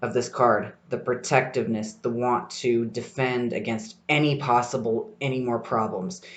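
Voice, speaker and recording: A man with an ordinary speaking voice talks at a moderate pace and a medium pitch, with ordinary pitch variation. He leaves hardly any pauses. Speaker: tarot podcast host. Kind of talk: solo podcast talk. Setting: library study room.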